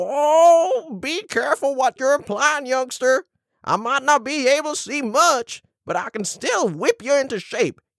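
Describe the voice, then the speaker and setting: Someone speaks at a moderate pace in a high-pitched, put-on character voice. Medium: audio drama. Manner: grumpy, crotchety.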